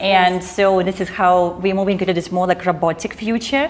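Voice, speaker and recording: Background noise is noticeable here. The talking goes at a fairly quick clip. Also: woman. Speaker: talk show host and interviewer. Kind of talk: interview host talking. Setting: studio.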